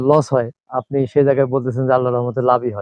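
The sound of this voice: Fast speech with fairly even intonation comes through dry and close, with no echo. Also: man.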